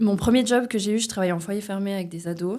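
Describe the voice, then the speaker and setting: Very clean recording with a silent background, carrying a dark, mellow tone. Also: woman. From mountain region, French-speaking. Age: 20s. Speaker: criminologist. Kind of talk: podcast interview.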